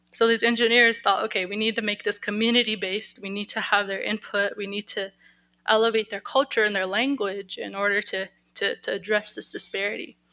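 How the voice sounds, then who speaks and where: In a very clean recording with a silent background, a woman with a bright, sharp tone speaks at a fairly quick pace with monotone, flat intonation. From Lakota, Pine Ridge area, South Dakota. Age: 20s. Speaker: engineering student presenter. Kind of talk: conference presentation. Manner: halting, many fillers and restarts.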